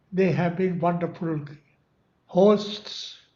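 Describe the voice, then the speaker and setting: Audible room echo surrounds a man speaking at a high pitch and a very slow pace. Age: 90s. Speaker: author of a memoir. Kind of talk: speech at a book launch.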